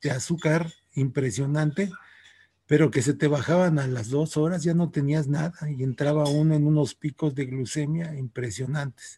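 Somewhat breathy, a man speaks at a fairly high pitch with a dark, mellow tone. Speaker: teacher. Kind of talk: interview.

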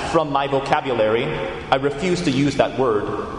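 A man speaks over noticeable background noise. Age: 30s. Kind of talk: homily.

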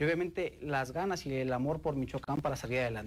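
This man has an ordinary speaking voice with ordinary pitch variation. He keeps a moderate pace. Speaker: state sports commission director. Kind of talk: interview.

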